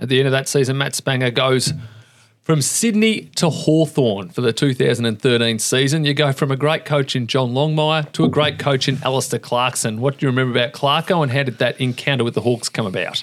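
At a fairly quick pace, a man talks with an Australian accent, his medium pitch showing ordinary variation. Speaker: podcast host. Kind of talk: interview.

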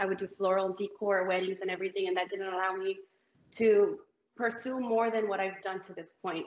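Her voice is monotone and flat as a woman speaks at a fairly quick pace and medium pitch. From Mexico, Guanajuato. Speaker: reality TV competitor. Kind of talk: casual interview.

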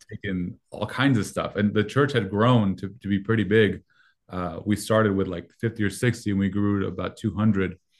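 A man with a Spanish accent talks at a fairly quick pace in a fairly low pitch. His intonation stays fairly even over a quiet background. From Mexico. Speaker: youth pastor. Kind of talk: interview.

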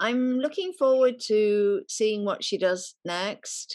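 A woman with an English Midlands accent, fairly high in pitch, lively in intonation, over a quiet background. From England, Nottingham. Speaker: celebrity stylist. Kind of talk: casual chat.

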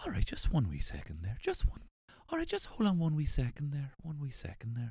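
In a breathy, put-on character voice with a Northern Irish accent, a man speaks at a fairly quick pace and a fairly high pitch. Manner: polite, gently pacifying.

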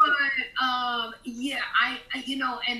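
A woman's high-pitched voice at a fairly slow pace, with noticeable background noise. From New York, East Harlem. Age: 50s. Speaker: author and screenwriter. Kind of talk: interview conversation.

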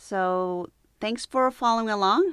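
A woman with an American accent talks at a fairly slow pace in an unremarkable speaking voice with ordinary pitch variation. The sound is dry and close with no echo, and the background is quiet. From United States. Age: 50s. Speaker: yoga and meditation teacher. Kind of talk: unscripted monologue. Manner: conversational.

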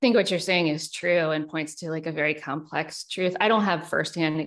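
A normal speaking voice: a woman with an American accent, fairly low pitch, fairly even intonation, moderate pace and a quiet background. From US South (South Carolina and Richmond, Virginia). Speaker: author and journalist. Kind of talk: interview.

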